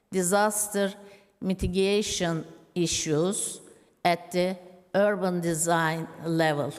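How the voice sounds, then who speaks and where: A woman's voice in a room with audible echo, fairly even intonation, a very slow pace, and long, frequent pauses. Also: fairly low pitch for a woman. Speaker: symposium speaker. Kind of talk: conference talk.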